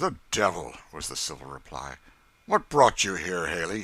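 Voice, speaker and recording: A man puts on a gruff, raspy character voice with an American accent, very deep and low in pitch, with lively intonation at a moderate pace. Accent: rustic American dialect. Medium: read story. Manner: gruff, surly.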